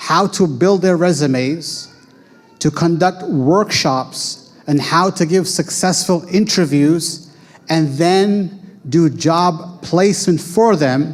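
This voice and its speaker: Over noticeable background noise, the speech moves at a very slow pace with very even loudness and ordinary pitch variation. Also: man, high pitch for a man. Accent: American. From United States. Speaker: Islamic school founder and educator. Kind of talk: talk presenting school programs.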